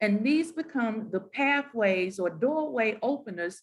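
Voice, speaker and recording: Her voice somewhat breathy and fairly high, a woman with a Southern accent speaks with lively intonation. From US South. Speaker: moderator, university academic. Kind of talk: panel discussion.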